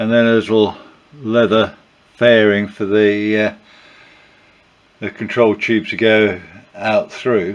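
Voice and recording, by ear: This man speaks slowly in a croaky voice with a fairly low pitch.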